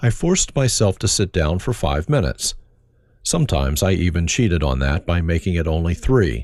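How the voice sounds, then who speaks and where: There is vocal fry in this man's voice. His pitch leaps up and down very widely. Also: very clean recording, silent background. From Germany. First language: German. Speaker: pastor. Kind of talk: reading aloud.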